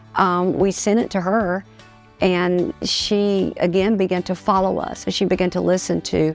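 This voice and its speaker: A woman's fairly low, monotone voice with flat intonation, music playing in the background. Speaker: preacher; gospel singer. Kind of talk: personal story told to camera. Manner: casual, conversational.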